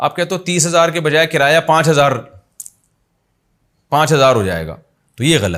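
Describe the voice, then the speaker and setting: A man's fairly high-pitched voice with vocal fry and ordinary pitch variation. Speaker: Islamic scholar (mufti) answering religious questions. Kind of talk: religious lecture answering viewers' questions.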